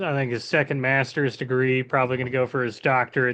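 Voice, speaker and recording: A plain, everyday voice from a man with an American accent, medium pitch and a fairly quick pace. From York, Pennsylvania. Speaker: bowyer. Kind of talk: casual interview.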